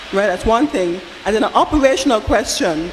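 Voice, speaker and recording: Noticeable background noise sits behind a woman speaking. Her pitch is fairly high and her pace fairly quick. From outside Barbados. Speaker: audience member at town hall. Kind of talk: public comment at town hall. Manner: halting, repeats words.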